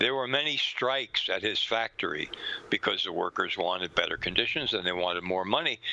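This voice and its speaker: Over noticeable background noise, a man with an American accent talks fairly quickly at a fairly low pitch. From New York. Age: 80s+. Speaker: author and researcher. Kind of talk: interview.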